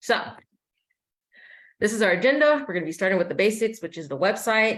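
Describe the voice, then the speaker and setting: A woman talks at a fairly quick pace. She has an American accent. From Kansas (Wichita). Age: 20s. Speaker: policy advocate. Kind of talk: presentation. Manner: many fillers and self-corrections.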